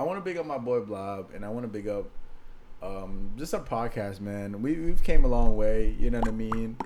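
Recorded with audible room echo, a man speaks at a moderate pace with lively intonation and a medium pitch. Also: big swings in loudness. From Maryland / D.C. area. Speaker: podcast co-host. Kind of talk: casual chat.

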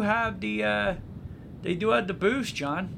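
The voice moves at a fairly slow pace, its pitch swinging very widely. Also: man. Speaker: podcast host, travel agent. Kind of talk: casual chat. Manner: stutters at times.

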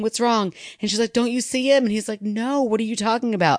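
Fairly high-pitched, a woman with a plain, everyday voice talks at a fairly quick pace, sounding dry and close with no echo over a quiet background. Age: 40s. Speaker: podcast co-host. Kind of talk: casual chat.

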